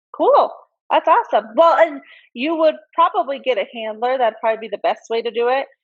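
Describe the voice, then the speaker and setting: A woman with a high voice talks at a fairly quick pace, her intonation lively. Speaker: dog breeder and interview host. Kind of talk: video interview chat. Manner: loud, flamboyant.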